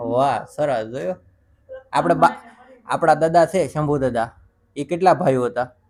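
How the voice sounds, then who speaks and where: This man has a plain, everyday voice. His pitch sits fairly high. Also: ordinary pitch variation. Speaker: vlogger interviewing his grandmother. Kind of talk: casual family vlog chat.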